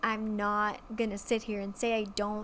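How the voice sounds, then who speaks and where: At a moderate tempo, a woman talks with a medium pitch. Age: 20s. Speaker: podcast host. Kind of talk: casual personal monologue. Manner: casual, filler-heavy.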